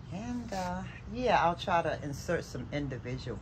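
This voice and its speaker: A woman talks at a moderate pace, and noticeable background noise is present throughout. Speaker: craft vlogger. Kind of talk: casual vlog. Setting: outdoors on deck gazebo. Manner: rambling with fillers. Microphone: phone near.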